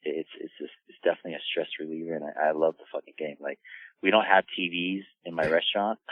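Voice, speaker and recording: Talking at a very fast pace, a man with an American accent makes big swings in loudness. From US Midwest, Wichita, Kansas. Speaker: chef and restaurant owner. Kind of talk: casual interview chat. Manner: halting, many repeated words and fillers.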